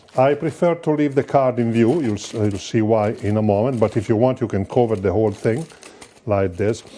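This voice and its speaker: A man with an Italian accent, medium pitch, ordinary pitch variation and a fairly quick pace, over noticeable background noise. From Italy. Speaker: magician. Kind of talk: lecture.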